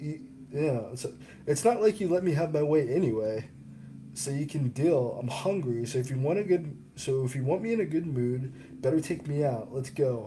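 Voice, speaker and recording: With an ordinary speaking voice, a man of fairly high pitch talks at a moderate pace with lively intonation. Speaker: author. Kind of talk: audiobook reading.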